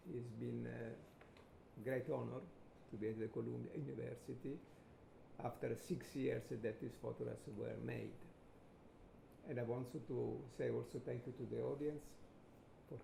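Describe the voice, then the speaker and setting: A man with an Italian accent, long, frequent pauses, and audible room echo. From Italy. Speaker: photographer. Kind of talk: lecture.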